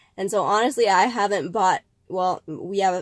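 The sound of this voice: The pace is moderate. The voice is nasal, with ordinary pitch variation. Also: woman.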